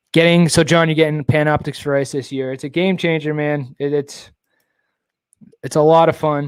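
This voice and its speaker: A man mumbling at a moderate pace and fairly high pitch. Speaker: live-stream host, kayak bass fisherman. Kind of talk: casual live-stream chat.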